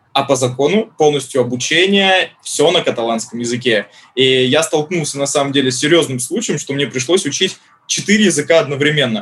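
In an ordinary speaking voice, a man with a fairly high pitch talks at a fairly quick pace with ordinary pitch variation. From Saint Petersburg, Russia. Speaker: Spanish language school head. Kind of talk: casual interview.

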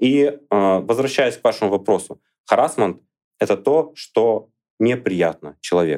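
A man talks at a fairly slow pace with a fairly low pitch. His intonation is lively. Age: 30s. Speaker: blogger and lecturer. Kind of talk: podcast interview.

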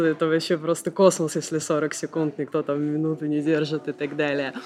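At a moderate pace and fairly low pitch, a woman speaks against noticeable background noise. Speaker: yoga teacher and tour participant. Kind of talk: interview about yoga tours.

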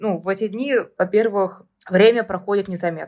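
Her pitch sitting at medium and varying in an ordinary way, a woman talks in a normal speaking voice. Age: 20s. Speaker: hypermarket department manager. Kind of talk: interview.

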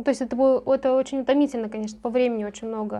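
Her pitch high, a woman speaks with fairly even intonation. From Novosibirsk region, Russia. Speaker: lawyer. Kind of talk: casual interview.

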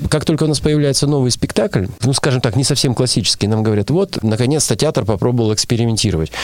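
Speaking very fast with hardly any pauses, a man keeps a medium pitch, lively intonation and very even loudness. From Russia, Urals (Nizhny Tagil). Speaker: theatre artistic director and actor. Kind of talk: interview.

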